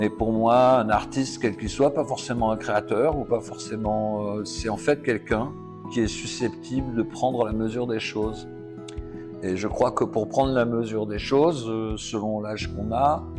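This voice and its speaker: With music in the background, a man with a fairly low pitch speaks at a fairly slow pace with lively intonation. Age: 60s. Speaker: artist. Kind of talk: interview answer. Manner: hesitant, reflective.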